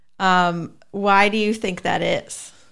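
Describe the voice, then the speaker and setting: A woman with an ordinary speaking voice speaks at a medium pitch with fairly even intonation. The recording is very clean, with a silent background. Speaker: podcast co-host, reads sponsor and listener questions. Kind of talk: casual chat.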